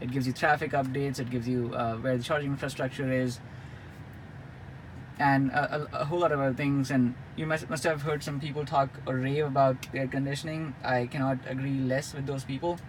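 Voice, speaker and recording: A man speaks at a fairly quick pace with a fairly high pitch. His intonation is monotone and flat. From India. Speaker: car reviewer. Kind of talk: product review. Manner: hesitant with many fillers and repetitions.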